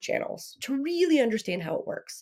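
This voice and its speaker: A woman's plain, everyday voice at a fairly quick pace, with lively intonation. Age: 40s. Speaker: digital marketing expert. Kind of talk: casual interview chat.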